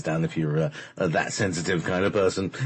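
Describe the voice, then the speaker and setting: Speaking with an English accent, a man uses a very deep, low pitch. His pitch variation is ordinary and his pace fairly quick. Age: 50s. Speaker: radio host. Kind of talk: casual chat. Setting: live radio show. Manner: hesitant, many fillers.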